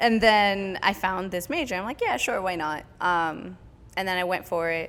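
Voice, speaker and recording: Moderate pace and ordinary pitch variation from a woman at medium pitch. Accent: West Coast US. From San Francisco Bay Area, California. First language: French. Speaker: dancer. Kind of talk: casual interview chat.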